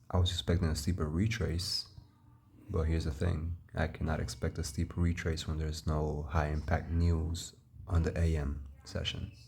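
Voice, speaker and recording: Very deep and low, this man's voice is somewhat breathy. His intonation stays fairly even. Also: moderate pace. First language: Spanish. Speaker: futures trader. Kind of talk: screen-share market recap tutorial. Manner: casual, halting.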